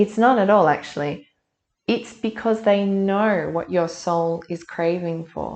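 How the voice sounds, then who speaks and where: A woman at medium pitch with ordinary pitch variation, an ordinary speaking voice, a fairly slow pace and a quiet background. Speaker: intuitive reader. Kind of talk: collective energy reading. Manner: conversational.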